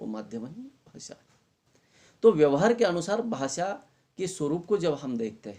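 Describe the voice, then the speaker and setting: With a Marathi accent, a man speaks in very wide pitch swings. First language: Marathi (speaking Hindi). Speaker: college Hindi lecturer. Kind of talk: lecture.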